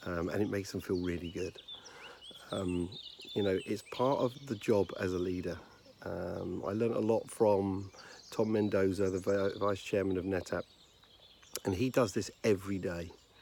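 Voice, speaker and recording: Quiet and at a moderate pace, a man with a British accent speaks with fairly even intonation and long, frequent pauses. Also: fairly low pitch for a man. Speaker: leadership consultant. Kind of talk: casual talk to camera. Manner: hesitant with frequent fillers.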